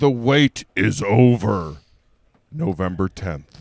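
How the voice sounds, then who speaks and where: A man's put-on character voice, fairly low in pitch, very slow and dramatic, with very wide pitch swings and a dry, close sound with no echo. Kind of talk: trailer announcer, dramatic. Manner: deep, grand, dramatic.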